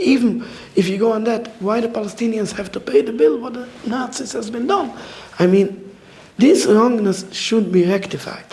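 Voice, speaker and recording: With noticeable background noise and audible room echo, a man speaks in a high pitch at a moderate pace, with ordinary pitch variation. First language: not English. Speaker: orthodox rabbi. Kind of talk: public talk at a community dialogue event. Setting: community event with live audience. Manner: halting, broken English phrasing.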